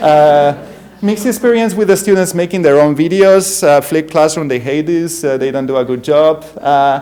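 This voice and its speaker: A man speaks with a strong Spanish accent at a fairly high pitch and a moderate pace, with ordinary pitch variation. Audible room echo and noticeable background noise surround him. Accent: thick Spanish. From Spain. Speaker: university professor. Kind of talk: conference keynote talk. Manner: halting, many fillers.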